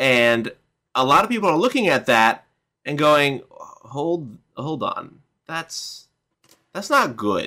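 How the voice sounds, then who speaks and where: A man's bright, sharp, fairly high voice with very wide pitch swings, at a very slow pace full of long, frequent pauses. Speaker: co-host, gamer. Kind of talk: casual chat, political commentary livestream. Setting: online livestream.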